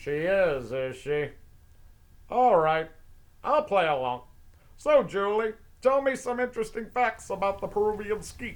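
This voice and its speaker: In a put-on character voice, a man speaks at a high pitch with very wide pitch swings, a moderate pace and long, frequent pauses. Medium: audio drama. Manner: brash showbiz patter.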